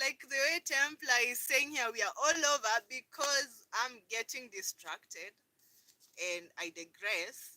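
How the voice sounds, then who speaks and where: Raised and projected, a woman's high-pitched voice carries a bright, sharp tone, an animated manner and lively intonation at a fairly slow pace. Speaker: lifestyle vlogger. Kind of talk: live stream chat. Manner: loud.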